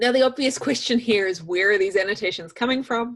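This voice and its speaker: A woman with a New Zealand accent, medium pitch, and ordinary pitch variation. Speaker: software trainer. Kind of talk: tutorial. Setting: video call.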